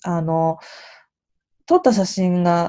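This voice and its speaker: With a dark, mellow tone, a woman speaks over a quiet background. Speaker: podcast host. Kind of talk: casual solo monologue.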